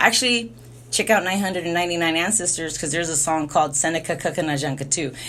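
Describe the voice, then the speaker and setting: A woman's very fast speech in a fairly low pitch, bright and sharp in tone, with ordinary pitch variation. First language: Spanish. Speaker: spiritual livestreamer. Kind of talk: casual monologue. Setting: alone in a room. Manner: rambling, filler-heavy.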